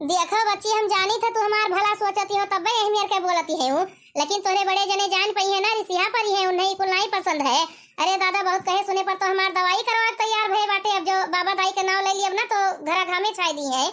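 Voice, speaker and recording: A woman's cartoonish character voice, extremely high in pitch, fairly quick, with fairly even intonation and very even loudness. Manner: soft, plaintive.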